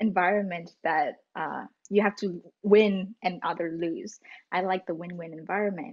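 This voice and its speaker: A woman with a Vietnamese accent against a quiet background. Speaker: student; podcast guest. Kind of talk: casual interview. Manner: halting. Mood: friendly, smiling. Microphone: video call.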